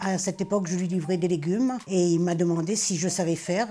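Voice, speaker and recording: At a moderate pace, a woman with a medium pitch speaks amid noticeable background noise. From Réunion. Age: 60s. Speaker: retired cook and volunteer. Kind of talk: personal testimony.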